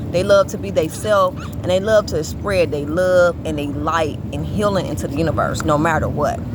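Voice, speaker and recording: Speech comes at a moderate pace with hardly any pauses. Noticeable background noise runs underneath. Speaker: astrology teacher. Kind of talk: informal lecture. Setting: outdoors in public. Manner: loud.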